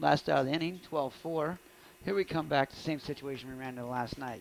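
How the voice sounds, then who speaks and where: At a very fast pace, a man speaks at medium pitch with ordinary pitch variation. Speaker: high school baseball play-by-play announcer. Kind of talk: live sports commentary. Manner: casual, conversational.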